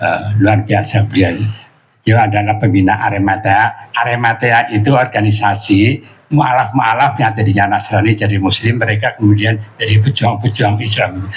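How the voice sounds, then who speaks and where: At a moderate pace, a man with a fairly low pitch talks in a monotone, flat manner at very even loudness, with noticeable background noise. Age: 80s+. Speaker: Islamic preacher. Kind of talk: religious talk. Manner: halting, many fillers.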